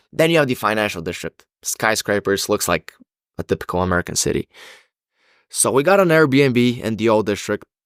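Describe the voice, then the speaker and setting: Male voice with a Bulgarian accent, ordinary pitch variation, dry, close sound with no echo, very clean recording, silent background. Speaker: university student. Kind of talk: podcast interview answer.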